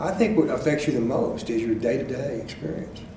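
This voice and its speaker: A man with a Texan accent, over noticeable background noise. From Belton, Texas. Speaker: former district attorney. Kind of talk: oral history interview answer.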